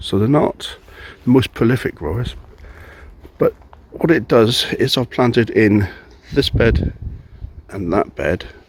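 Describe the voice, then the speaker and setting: Over noticeable background noise, a man talks at a fairly slow pace with lively intonation and a medium pitch. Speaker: home gardener. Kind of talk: casual gardening talk to camera.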